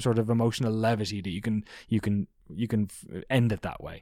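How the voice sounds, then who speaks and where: On a very clean recording with a silent background, a man with an Irish accent talks at a fairly quick pace. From southeast Ireland. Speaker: video documentary producer, former games journalist. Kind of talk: casual interview. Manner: rambling, fast.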